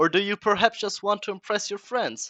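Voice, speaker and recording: A man with a German accent. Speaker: gaming guide creator. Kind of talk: video game guide narration. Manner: playful, energetic.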